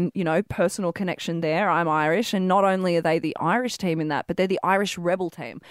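A woman with an Australian accent speaks very fast at a fairly low pitch, with fairly even intonation and hardly any pauses. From Wollongong, New South Wales. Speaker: radio sports show co-host. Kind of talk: casual radio banter. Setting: radio studio.

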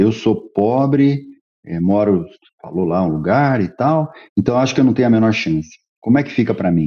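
A man with a plain, everyday voice talks at a moderate pace, his fairly low pitch carried by lively intonation. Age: 50s. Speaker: tech executive. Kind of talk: interview. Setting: remote call.

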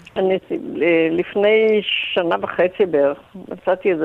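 With noticeable background noise, a woman talks at a very slow pace at a medium pitch with ordinary pitch variation. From Israel. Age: 80s+. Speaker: retired tour guide, residents' association chair. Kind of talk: radio interview.

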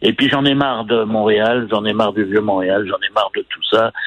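Talking at a moderate pace, a man has an unremarkable speaking voice pitched fairly low. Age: 60s. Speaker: restaurant owner. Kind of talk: phone interview. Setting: phone call.

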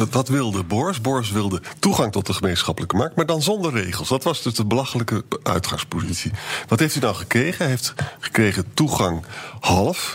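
Amid noticeable background noise, a man speaks at a medium pitch and a fairly quick pace. His pitch swings very widely while his loudness stays very even. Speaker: historian, podcast co-host. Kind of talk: casual chat.

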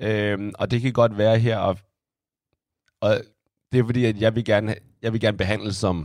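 Animated in tone, a man speaks at a fairly slow pace and a fairly low pitch, leaving long, frequent pauses. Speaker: amateur podcast co-host. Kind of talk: casual chat.

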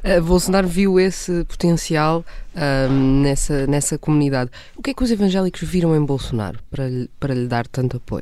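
The speaker has a European Portuguese accent. The pace is moderate. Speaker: journalist. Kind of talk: casual chat. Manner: halting, many fillers.

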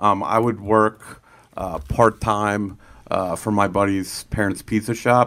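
With an American accent, a man talks at a very slow pace. His pitch is fairly low and his intonation fairly even. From Lancaster County, Pennsylvania. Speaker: addiction treatment transport driver, in recovery. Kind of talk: interview testimony.

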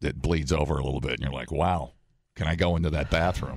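A man's voice with vocal fry. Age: 30s. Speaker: morning radio co-host. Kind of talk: casual chat. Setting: studio. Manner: animated.

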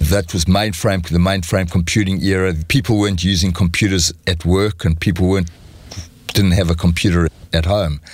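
Very deep and low in pitch, a man's voice holds very even loudness and fairly even intonation at a moderate pace. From South Africa. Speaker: entrepreneur and venture capitalist. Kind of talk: interview.

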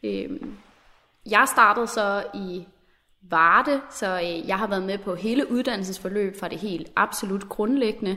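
A woman talks at a fairly slow pace in a bright, sharp tone. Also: medium pitch for a woman, ordinary pitch variation. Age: 20s. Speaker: officer cadet. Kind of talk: recorded interview.

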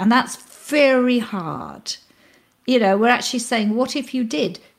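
Speaking with a British accent, a woman keeps a moderate pace and ordinary pitch variation in a very clean recording with a silent background. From UK. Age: 60s. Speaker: mindfulness teacher, former neuroscientist. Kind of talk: interview.

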